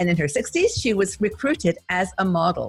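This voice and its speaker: Speaking at a fairly quick pace, a woman has a medium pitch and vocal fry. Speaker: YouTube host / interviewer. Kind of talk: interview, casual conversation.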